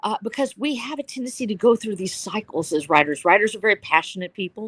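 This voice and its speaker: A woman's ordinary speaking voice with lively intonation, in a dry, close sound with no echo. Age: 60s. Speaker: novelist. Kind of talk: panel discussion. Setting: live stream. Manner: earnest.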